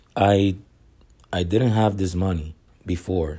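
A man talks with a non-native accent at a very slow pace. His very deep, low pitch shows ordinary pitch variation. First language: not English. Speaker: barber and online reseller podcaster. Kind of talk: solo podcast monologue. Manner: halting, many repetitions.

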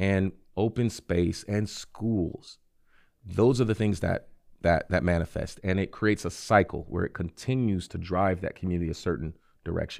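On a very clean recording with a silent background, a man speaks with a very deep, low pitch and ordinary pitch variation. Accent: American. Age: 30s. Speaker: city council member running for mayor. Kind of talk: interview.

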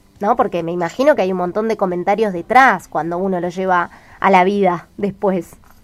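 Speaking at a fairly quick pace, a woman uses a normal speaking voice with medium pitch and ordinary pitch variation. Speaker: radio host. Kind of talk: casual chat.

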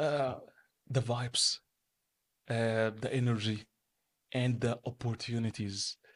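A man with an Arabic accent speaks very slowly in a medium pitch and a monotone, flat intonation, with long, frequent pauses. The sound is dry and close, with no echo. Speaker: entrepreneur and business manager. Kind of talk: interview.

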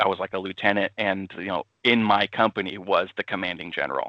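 A man with an American accent, fairly low in pitch, with fairly even intonation at a moderate pace. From Austin, Texas. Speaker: army veteran and small business owner. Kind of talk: casual interview chat. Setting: remote call. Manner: halting with many fillers.

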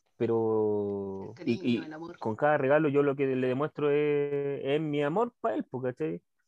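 Speaking at a fairly high pitch, a man shows ordinary pitch variation. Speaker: podcast host. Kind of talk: casual chat. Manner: animated.

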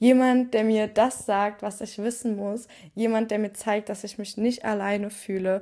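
Fairly slow and monotone, a woman speaks with a fairly high pitch and a dark, mellow tone on a very clean recording with a silent background. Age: 20s. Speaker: podcast host and psychology student. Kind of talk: solo podcast monologue.

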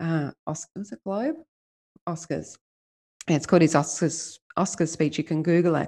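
A woman's Australian accent, a dark, mellow tone, fairly low pitch, ordinary pitch variation and a moderate pace. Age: 50s. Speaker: life coach. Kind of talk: interview.

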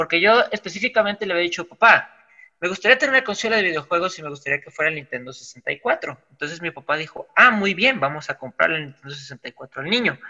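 The voice has a bright, sharp tone with a Mexican accent and lively intonation. It moves at a fairly quick pace, with big swings in loudness. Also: man, high pitch for a man. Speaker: podcast host. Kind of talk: casual chat.

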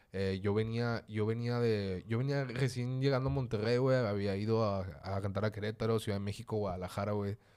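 Here is a man with a plain, everyday voice and a fairly low pitch. He talks at a moderate pace with fairly even intonation on a very clean recording with a silent background. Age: 20s. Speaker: rapper. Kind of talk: casual chat.

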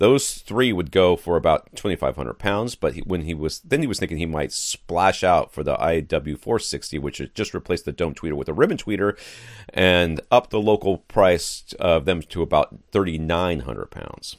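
With vocal fry and lively intonation, a man talks at a moderate pace with hardly any pauses in a very deep, low pitch, recorded very cleanly against a silent background with a dry, close sound and no echo. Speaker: podcast host.

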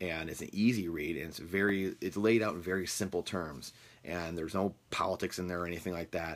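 Speaking at a fairly quick pace, a man with a Midwestern US accent uses a very deep, low pitch and fairly even intonation. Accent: US Midwest. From Michigan, US. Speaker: real estate podcast host. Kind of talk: casual monologue. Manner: halting with many fillers.

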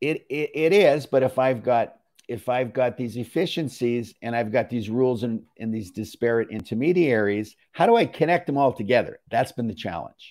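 An ordinary speaking voice moves at a moderate pace with hardly any pauses and ordinary pitch variation. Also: man, medium pitch for a man. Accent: Canadian. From Canada. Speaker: company executive. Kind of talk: casual chat.

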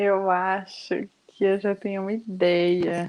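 A woman speaks at medium pitch against a quiet background. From Brazil, Bahia. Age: young. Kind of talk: casual interview chat.

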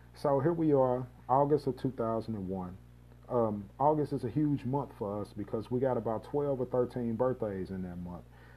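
A man with an ordinary speaking voice, moderate pace and ordinary pitch variation. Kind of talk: personal storytelling monologue. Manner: casual, filler-heavy.

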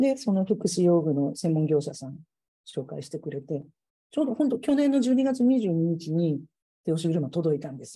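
Her fairly low, somewhat breathy voice has a dark, mellow tone, very wide pitch swings and big swings in loudness as the woman speaks at a moderate pace. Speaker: civil engineer. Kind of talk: casual chat. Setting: video call.

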